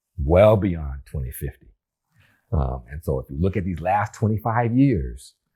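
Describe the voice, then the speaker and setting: On a very clean recording with a silent background, a man with a very deep, low voice sounds somewhat breathy and dark and mellow in tone, with very wide pitch swings. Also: big swings in loudness. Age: 70s. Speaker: retired rocket scientist and business leader. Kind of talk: interview conversation.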